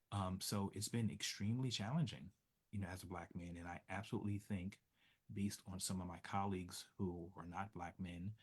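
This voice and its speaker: A soft-spoken man with an American accent, very deep and low in pitch, fairly quick in pace, with fairly even intonation. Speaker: social work professor. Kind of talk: interview.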